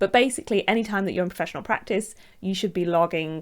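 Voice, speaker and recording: Against a very clean recording with a silent background, a woman with a northern English accent speaks at a fairly low pitch. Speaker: architect. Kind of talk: tutorial. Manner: casual, with fillers.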